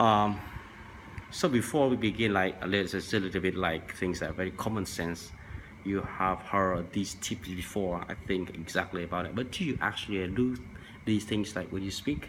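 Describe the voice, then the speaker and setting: A man's very deep, low-pitched voice with a Vietnamese accent, at a moderate pace. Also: ordinary pitch variation. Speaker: language tips vlogger. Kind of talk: tutorial. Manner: halting, many fillers.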